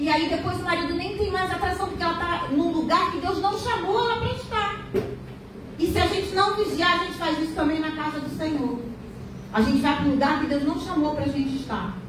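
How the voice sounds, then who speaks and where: At an extremely high pitch with ordinary pitch variation, a woman talks at a fairly quick pace amid noticeable background noise and audible room echo. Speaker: church preacher / bible teacher. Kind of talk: sermon. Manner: fast.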